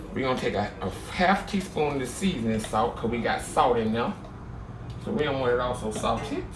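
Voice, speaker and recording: With lively intonation, a man speaks at a medium pitch and a fairly quick pace. Room echo is audible and background noise is noticeable. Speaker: home cooking channel host. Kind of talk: cooking tutorial. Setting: home kitchen. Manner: loud; casual, chatty.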